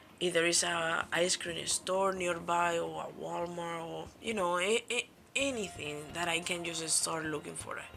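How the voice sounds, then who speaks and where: Speaking at a fairly slow pace, a woman with a Spanish accent has a fairly low pitch and a bright, sharp tone. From Spain. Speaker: YouTuber. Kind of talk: casual storytelling vlog. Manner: casual, animated.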